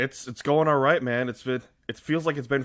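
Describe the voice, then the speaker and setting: Speaking in a normal speaking voice with an American accent, a man moves at a fairly quick pace with ordinary pitch variation. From Michigan, US. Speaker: hockey radio host and blogger. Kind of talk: casual interview chat.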